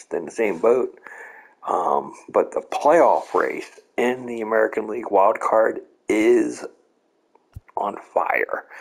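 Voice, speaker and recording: A man at a very slow pace. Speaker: gaming YouTuber. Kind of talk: casual gaming video intro and wrap-up. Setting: playing video game, home recording. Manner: conversational, with filler words.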